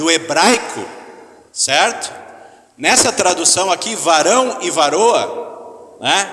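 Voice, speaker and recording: A man talks with lively intonation. Audible room echo and noticeable background noise surround his voice. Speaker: pastor. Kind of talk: sermon. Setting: church hall with audience, microphone.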